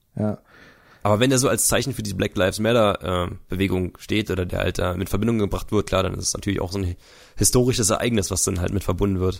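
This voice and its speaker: A man with a fairly low pitch rattles along very fast, his intonation fairly even. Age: 20s. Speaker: YouTuber. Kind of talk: casual chat.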